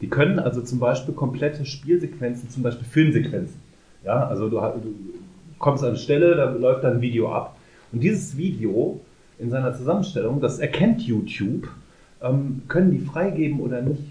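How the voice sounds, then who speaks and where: Audible room echo surrounds a man with a fairly high pitch and a dark, mellow tone. He sounds somewhat breathy, keeps a moderate pace, and shows ordinary pitch variation. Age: 30s. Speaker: podcast co-host. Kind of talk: casual chat.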